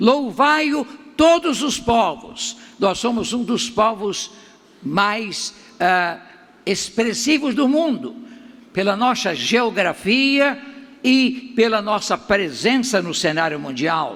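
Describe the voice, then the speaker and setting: Amid audible room echo, a man speaks at an extremely high pitch with lively intonation, at a very slow pace with long, frequent pauses. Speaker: pastor. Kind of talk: sermon.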